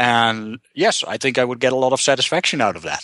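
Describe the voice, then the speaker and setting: A man speaks at a fairly quick pace with a bright, sharp tone, medium pitch and ordinary pitch variation. The sound is dry and close with no echo, over a quiet background. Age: 40s. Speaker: software company founder. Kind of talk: casual business consultation. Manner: hesitant, many fillers and repetitions.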